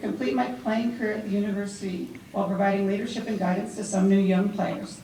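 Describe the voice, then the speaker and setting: Over noticeable background noise, a woman of medium pitch talks at a very fast pace. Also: ordinary pitch variation. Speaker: former university athlete. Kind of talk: award acceptance speech. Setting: live event before a large crowd.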